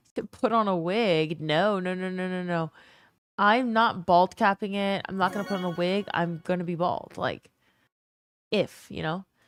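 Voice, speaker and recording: Music plays in the background as a woman with medium pitch speaks at a moderate pace and fairly even intonation. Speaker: gaming streamer. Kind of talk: live stream chat.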